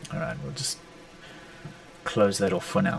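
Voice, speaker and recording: A man talks over noticeable background noise. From South Africa. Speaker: sneaker customizer and artist. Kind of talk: live stream tutorial. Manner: casual.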